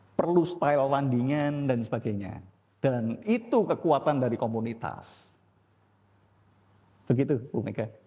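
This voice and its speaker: A man with a fairly high pitch and a dark, mellow tone speaks with lively intonation. His pace is fairly slow, with long, frequent pauses. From Indonesia, Surabaya (East Java). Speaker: pastor and theology teacher. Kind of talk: church teaching with Q&A. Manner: blunt, direct.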